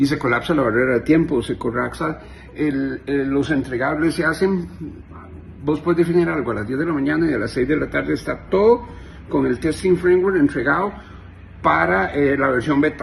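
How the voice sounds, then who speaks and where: Noticeable background noise carries on in the clip. Over it, a man keeps a moderate pace, his intonation lively. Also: fairly high pitch for a man. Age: 50s. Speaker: software engineer. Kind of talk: monologue to camera. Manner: animated.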